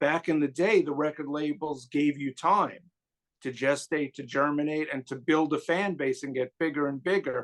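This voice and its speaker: In a New York accent, a man with a fairly high voice speaks at a moderate pace with fairly even intonation. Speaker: music YouTuber guest. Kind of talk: casual chat.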